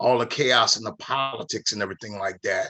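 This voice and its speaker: A man's ordinary speaking voice at a medium pitch, with ordinary pitch variation and a moderate pace. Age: 50s. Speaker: network marketing member and minister. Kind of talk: casual chat.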